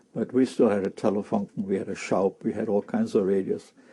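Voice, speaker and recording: Moving at a fairly quick pace, a man with a German accent speaks in a dark, mellow tone with ordinary pitch variation. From Germany, Berlin. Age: 70s. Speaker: war witness, former Hitler Youth member. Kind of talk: interview testimony. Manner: halting, repetitive.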